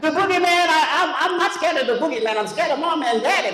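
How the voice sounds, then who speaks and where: With noticeable background noise behind him, a man speaks very fast in an extremely high pitch, his voice raised and projected and his intonation lively. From Louisiana. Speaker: comedian. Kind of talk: live stand-up comedy.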